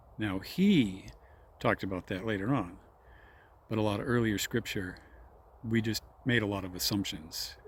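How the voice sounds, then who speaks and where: The voice is somewhat breathy, with ordinary pitch variation. Long, frequent pauses break up the speech. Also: man, fairly low pitch for a man. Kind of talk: informal religious talk. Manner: slow, deliberate; hesitant, self-correcting.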